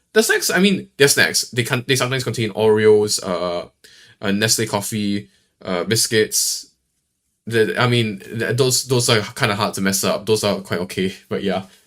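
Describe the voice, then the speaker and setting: This man speaks with a Singaporean accent at a moderate pace. His pitch is fairly low, with ordinary variation. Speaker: streamer. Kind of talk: live reaction stream. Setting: live stream. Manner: halting, many fillers and repeats; casual.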